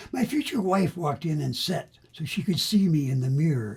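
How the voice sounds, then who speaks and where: A man's fairly high-pitched voice at a moderate pace, full of lively intonation. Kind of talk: poetry reading. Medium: solo performance. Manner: rhythmic, savoring sound and wordplay.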